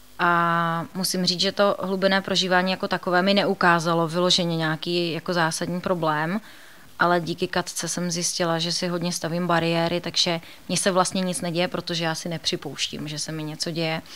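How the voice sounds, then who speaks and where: The woman's tone is bright and sharp, her pitch fairly low. She speaks at a moderate pace in a monotone, flat intonation. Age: 30s. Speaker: therapy client. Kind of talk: interview testimony.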